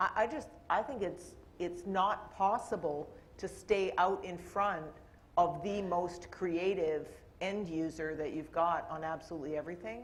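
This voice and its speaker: A somewhat breathy voice with a Canadian accent, fairly slow pace and ordinary pitch variation, set in audible room echo. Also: woman, fairly low pitch for a woman. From Canada. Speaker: corporate IT executive on a panel. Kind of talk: panel discussion.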